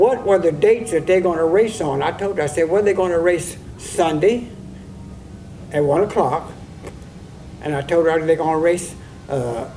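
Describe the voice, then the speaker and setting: A man's high-pitched voice, ordinary pitch variation, a moderate pace and long, frequent pauses, with music in the background. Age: 80s+. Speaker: harness racing old-timer. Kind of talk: oral history interview. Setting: log cabin on fairgrounds. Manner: halting, many repetitions.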